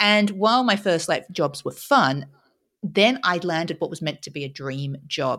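In a very clean recording with a silent background, a woman with an Australian accent speaks at a moderate pace with lively intonation. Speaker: author and speaker. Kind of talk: interview, casual chat.

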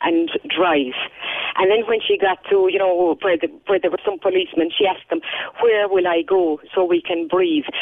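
A woman with a medium pitch talks at moderate speed, her pitch varying in an ordinary way. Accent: Kerry Irish. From Ireland, County Kerry. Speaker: English teacher. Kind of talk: phone interview. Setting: phone call.

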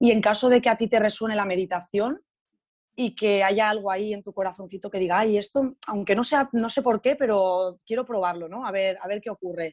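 A woman talks at a fairly quick pace in an ordinary speaking voice. Her pitch is medium, with ordinary pitch variation. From Spain, Alicante. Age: 20s. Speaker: yoga and meditation teacher. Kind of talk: casual interview.

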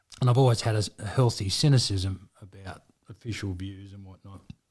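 A man with an Australian accent, somewhat breathy, at a moderate pace with ordinary pitch variation. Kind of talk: casual chat. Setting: studio.

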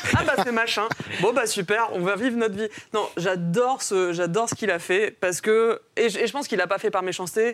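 A woman talks at a moderate pace with noticeable background noise. Her voice is fairly high, and its pitch varies in an ordinary way. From Mauritius. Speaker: comics author and film and comics teacher. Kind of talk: casual panel discussion.

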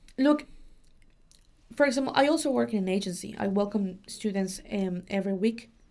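A woman with a Spanish accent at medium pitch, very wide pitch swings, a fairly quick pace and long, frequent pauses. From Mexico. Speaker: au pair and student agency worker. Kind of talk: casual interview. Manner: halting, many fillers.

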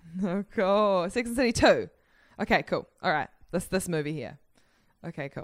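With a New Zealand accent, a woman speaks at a moderate pace in a medium pitch with lively intonation. She leaves long, frequent pauses. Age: 20s. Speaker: comedian. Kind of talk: casual chat.

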